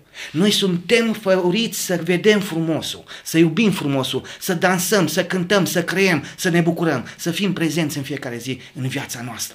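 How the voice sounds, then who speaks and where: A man's high-pitched voice at a fairly slow pace with hardly any pauses and ordinary pitch variation, amid noticeable background noise. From Romania, Maramureș. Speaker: potter. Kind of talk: interview conversation. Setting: home pottery workshop.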